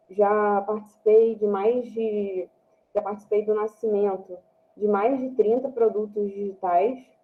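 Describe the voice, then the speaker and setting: A woman's fairly high voice, monotone and flat in intonation, at a fairly slow pace. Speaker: product designer. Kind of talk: online talk presentation. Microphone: slightly quiet and muffled.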